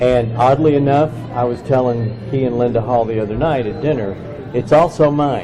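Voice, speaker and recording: A man at a medium pitch and moderate pace, with fairly even intonation, audible room echo and noticeable background noise. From Kentucky. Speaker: book publisher. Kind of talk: interview.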